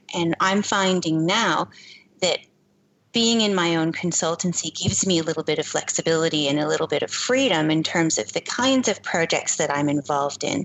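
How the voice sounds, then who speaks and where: A woman with a Canadian accent speaks in an ordinary speaking voice at a fairly low pitch and a fairly quick pace, with lively intonation and very even loudness. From Canada. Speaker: privacy consultant. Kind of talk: interview.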